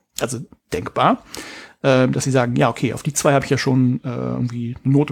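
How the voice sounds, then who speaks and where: The speech is mumbled and very fast, with lively intonation. The sound is dry and close, with no echo. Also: man. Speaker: podcast co-host, education researcher. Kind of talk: casual chat. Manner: mumbling.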